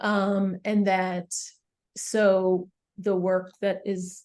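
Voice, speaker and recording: This woman has a dark, mellow tone at a medium pitch. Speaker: community organizer. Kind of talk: presentation on video call.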